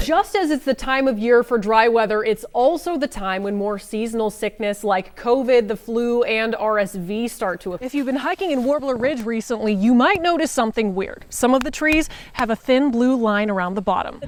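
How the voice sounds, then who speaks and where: Lively intonation from a woman at a fairly quick pace, with noticeable background noise. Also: fairly high pitch for a woman, hardly any pauses. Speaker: TV news reporter. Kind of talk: on-location news stand-up.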